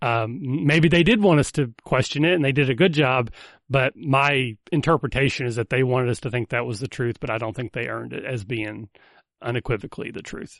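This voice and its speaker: Over a quiet background, a man with a normal speaking voice talks at a fairly quick pace and medium pitch with ordinary pitch variation, in a dry, close sound with no echo. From US South. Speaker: podcast host. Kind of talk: casual chat.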